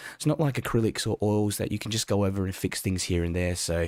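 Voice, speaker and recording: The speaker talks at a fairly quick pace in an Australian accent. The recording is very clean, with a silent background and a dry, close sound with no echo. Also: man. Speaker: watercolour art teacher. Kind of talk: live-stream painting workshop. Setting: live stream. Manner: casual, conversational.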